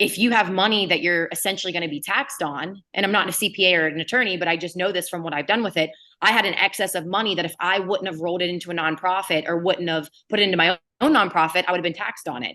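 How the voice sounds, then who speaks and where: With an American accent, a woman talks very fast in a bright, sharp tone, her fairly low pitch showing ordinary variation. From Ohio, near Pittsburgh. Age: 30s. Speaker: real estate investor. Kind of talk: interview. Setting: podcast.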